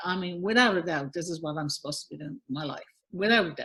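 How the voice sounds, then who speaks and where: A woman speaks at a medium pitch with lively intonation and an animated tone. Her voice is somewhat breathy. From Newfoundland, Canada. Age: 50s. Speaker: singer-songwriter and visual artist. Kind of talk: podcast interview. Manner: animated, repeats words often.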